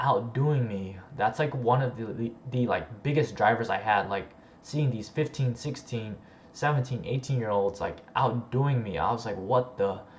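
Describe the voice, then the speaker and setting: A man speaks in a somewhat breathy voice. His pitch is medium. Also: ordinary pitch variation, moderate pace. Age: 20s. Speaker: online business coach / YouTuber. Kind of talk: livestream Q&A. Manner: casual with many filler words.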